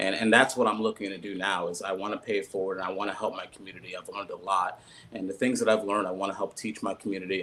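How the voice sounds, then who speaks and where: Over noticeable background noise, someone delivers the words at a very fast pace. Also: man. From US, Haitian-American family. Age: 30s. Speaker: political candidate. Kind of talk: panel interview. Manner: halting, many fillers and repeats.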